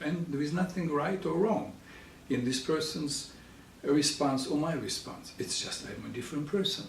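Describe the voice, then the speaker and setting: Audible room echo surrounds a man who speaks at a fairly slow pace with a Russian accent. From Russian-speaking country. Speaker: psychologist. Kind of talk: educational talk.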